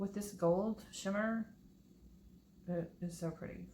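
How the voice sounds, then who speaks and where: Her pitch sits at a medium level for a woman. She mumbles in a flat, monotone way. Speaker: acrylic pour painting hobbyist youtuber. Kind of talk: tutorial. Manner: casual, chatty; mumbling.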